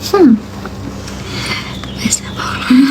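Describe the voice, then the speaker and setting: A woman speaks at a high pitch. Her voice carries audible room echo with noticeable background noise. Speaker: live streamer. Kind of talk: casual chat with live chat viewers.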